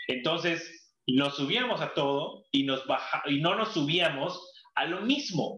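A man's lively intonation in a Mexican accent. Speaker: former tour guide. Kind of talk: casual chat.

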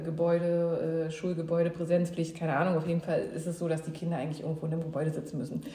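Fairly low female speech with clear background noise and audible echo from the room. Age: 30s. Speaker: mother emigrating with children. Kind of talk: casual interview. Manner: halting, many fillers.

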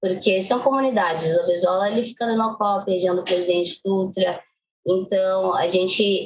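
A woman speaks at a fairly slow pace and a medium pitch. She has an ordinary speaking voice. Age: 20s. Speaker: poet, singer and actress. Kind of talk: interview.

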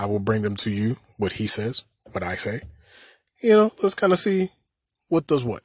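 Long, frequent pauses break up a somewhat breathy man's voice that makes very wide pitch swings. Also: medium pitch for a man, moderate pace. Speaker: solo podcast host on business and finance news. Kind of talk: solo podcast monologue. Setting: podcast recording. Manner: casual, conversational.

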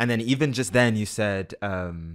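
Intonation rises and falls in a lively way, with an American accent. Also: man. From London, England. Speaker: podcast host. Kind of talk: interview conversation.

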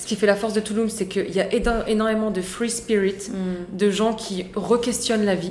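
The speech moves at a moderate pace in a monotone, flat intonation with hardly any pauses. Noticeable background noise and audible room echo are present. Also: woman, medium pitch for a woman. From France, Moroccan heritage. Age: 30s. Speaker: serial entrepreneur. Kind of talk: casual chat.

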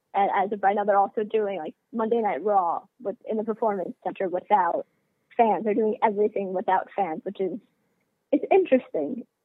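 At a moderate pace, a plain, everyday voice speaks with ordinary pitch variation. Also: woman, medium pitch for a woman. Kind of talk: casual chat.

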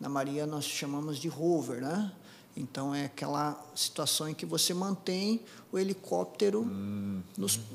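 A man with a fairly high voice talks fairly slowly, his pitch swinging very widely. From Brazil, interior of Paraná (Apucarana). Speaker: air force colonel, helicopter pilot. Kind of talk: interview. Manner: halting, many fillers and repetitions.

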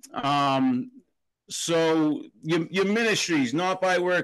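A man with an American accent speaks in a fairly high pitch with lively intonation against a quiet background. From Boston, Massachusetts. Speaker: podcast host. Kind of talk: casual interview chat.

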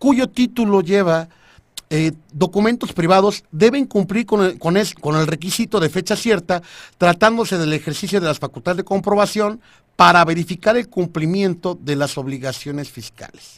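On a very clean recording with a silent background, a man speaks in a high pitch. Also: ordinary pitch variation, moderate pace. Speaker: tax law radio host. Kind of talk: legal explainer on radio. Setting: radio studio, live. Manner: stammering, repeats words; joking, informal.

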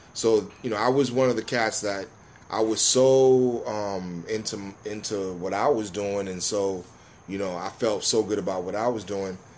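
A man with an American accent talks at a moderate pace in a fairly low voice with fairly even intonation. It is an unremarkable speaking voice. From New York, Jamaican family. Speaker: rapper. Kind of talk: casual chat.

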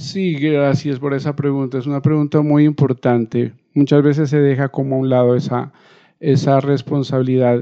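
Monotone, flat intonation from a man with a fairly high-pitched voice, at a moderate pace. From Colombia, Nariño (Ipiales). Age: 50s. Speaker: musician. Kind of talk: interview.

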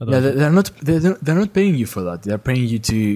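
With a Greek accent, this speaker has a dark, mellow tone, ordinary pitch variation and a moderate pace. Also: man. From Greece. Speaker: university student.

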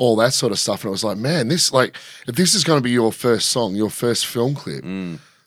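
On a very clean recording with a silent background, a man at medium pitch speaks at a moderate pace with lively intonation. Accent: Australian. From Australia, rural Victoria (Shepparton). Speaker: DJ and film crew worker. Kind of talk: casual chat. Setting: studio.

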